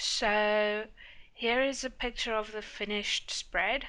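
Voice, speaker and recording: With a South African accent, a woman speaks in a bright, sharp tone at a fairly high pitch. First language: Afrikaans. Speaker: planner YouTuber. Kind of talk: casual chat.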